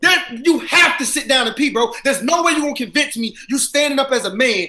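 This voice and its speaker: With noticeable background noise around him, a man with an American accent speaks in a raised, projected voice at a very fast pace, his pitch extremely high and its variation ordinary. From US South, South Carolina. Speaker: battle rapper. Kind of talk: casual chat. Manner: loud, energetic.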